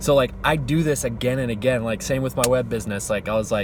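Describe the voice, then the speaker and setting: A man at a medium pitch with ordinary pitch variation, over noticeable background noise. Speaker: vlogger living in his car, musician and web designer. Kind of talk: casual vlog monologue. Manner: fast; animated.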